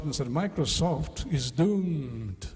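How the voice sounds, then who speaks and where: Over noticeable background noise, a man with a Portuguese accent speaks with lively intonation. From Brazil. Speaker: education speaker. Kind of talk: conference lecture.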